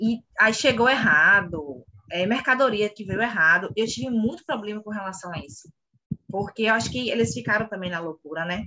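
Speaking in a normal speaking voice, a woman at medium pitch uses lively intonation and a moderate pace, with big swings in loudness. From Bahia, Brazil (Salvador). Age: 30s. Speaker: clothing store owner. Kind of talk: interview.

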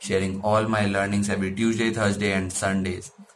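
A man talks at a fairly low pitch. Noticeable background noise can be heard. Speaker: digital marketing content creator. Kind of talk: tutorial.

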